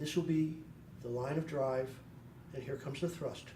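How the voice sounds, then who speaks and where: A soft-spoken voice with a soothing tone moves at a moderate pace with fairly even intonation. Noticeable background noise is present. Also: man. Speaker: chiropractor. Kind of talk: instructional demonstration. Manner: soft-spoken, soothing.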